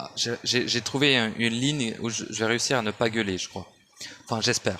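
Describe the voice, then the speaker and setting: A man at a medium pitch speaks with fairly even intonation at a moderate pace, with noticeable background noise behind him. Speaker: esoteric audio commentator. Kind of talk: monologue rant. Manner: shouting; halting.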